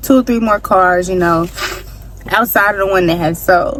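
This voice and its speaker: With noticeable background noise behind her, a woman talks with lively intonation. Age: 20s. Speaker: vlogger. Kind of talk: storytime vlog. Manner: animated.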